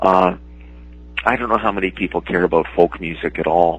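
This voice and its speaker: A man speaks with a Canadian accent in a very deep, low voice. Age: 60s. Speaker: comic book artist and writer. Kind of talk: interview. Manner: halting, many fillers and repeats.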